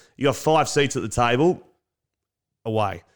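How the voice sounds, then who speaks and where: Someone with an Australian accent speaks at a fairly slow pace with ordinary pitch variation. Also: man, very clean recording, silent background. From Victoria, Australia (Lakes Entrance). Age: 30s. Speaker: podcast host, former footballer. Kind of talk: casual chat. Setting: makeshift home bar.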